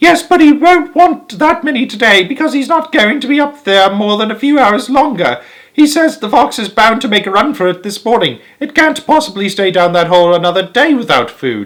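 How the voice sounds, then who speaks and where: Using a put-on character voice, a man talks at a fairly quick pace with an extremely high pitch and very wide pitch swings. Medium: read story. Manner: impatient, commanding.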